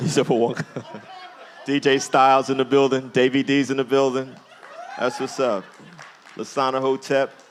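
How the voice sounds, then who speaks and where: With music in the background, a man with an American accent speaks at a medium pitch, leaving long, frequent pauses. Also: moderate pace. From New Jersey (Jersey City). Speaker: speaker and activist. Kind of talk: public talk to audience. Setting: museum event with live audience. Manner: animated.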